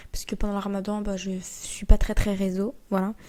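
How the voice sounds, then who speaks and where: Soft-spoken and fairly slow, a woman talks in a dark, mellow tone. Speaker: podcast host. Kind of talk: casual monologue. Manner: unscripted, rambling with fillers.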